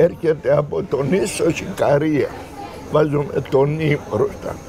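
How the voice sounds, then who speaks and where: Very slow speech against crowd noise in the background. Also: man. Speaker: local villager. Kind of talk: interview, casual chat.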